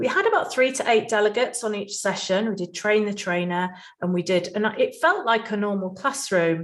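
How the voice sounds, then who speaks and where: Speech at a fairly quick pace with ordinary pitch variation plays over noticeable background noise. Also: woman, medium pitch for a woman. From England, Nottingham. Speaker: conference speaker, healthcare trainer and business owner. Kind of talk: conference presentation.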